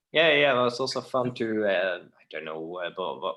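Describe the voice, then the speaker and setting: This man speaks with a Dutch accent. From Netherlands. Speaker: theater technician, hobby builder. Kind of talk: casual interview chat. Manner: halting, hesitant.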